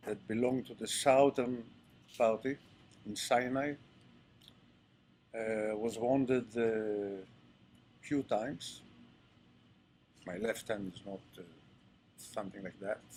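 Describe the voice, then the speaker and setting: A man with an Israeli accent speaks at a very slow pace with long, frequent pauses, a medium pitch and fairly even intonation. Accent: Israeli, non-native English. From Israel, Ashkelon. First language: Hebrew. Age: 70s. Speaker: retired army general. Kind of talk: interview talk to audience. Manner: halting, hesitant.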